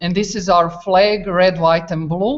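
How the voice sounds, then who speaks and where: A woman speaks with a Croatian accent. Her pitch is fairly low, with ordinary pitch variation. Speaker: teacher. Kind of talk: classroom video exchange. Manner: halting.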